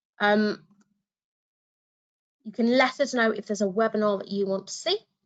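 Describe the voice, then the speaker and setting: Her intonation is fairly even. This woman's voice sits fairly high. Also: moderate pace. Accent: British. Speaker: education consultant, former teacher. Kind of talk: webinar tutorial. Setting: online webinar.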